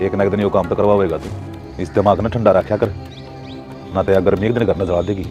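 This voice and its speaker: A man with a Haryana accent speaks at a fairly low pitch with fairly even intonation and long, frequent pauses while music plays in the background. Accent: Haryanvi. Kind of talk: village family drama dialogue.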